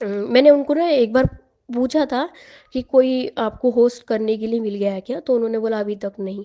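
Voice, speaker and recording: A woman with a Marathi accent, fairly high in pitch, at a moderate pace, with ordinary pitch variation and big swings in loudness. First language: Marathi (speaking Hindi). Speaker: aspiring public speaker sharing success story. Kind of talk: testimony. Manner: conversational with hesitations.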